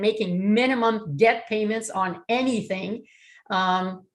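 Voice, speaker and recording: In a Canadian accent, a woman speaks at a medium pitch with ordinary pitch variation in an unremarkable speaking voice against a quiet background. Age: 60s. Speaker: real estate investor presenter. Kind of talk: webinar presentation.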